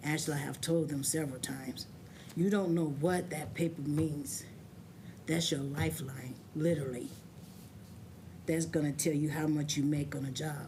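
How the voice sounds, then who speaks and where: A somewhat breathy woman's voice, very deep and low, in a monotone, flat intonation at a moderate pace, with long, frequent pauses and audible room echo. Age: 60s. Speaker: adult learner giving testimony. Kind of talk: testimony.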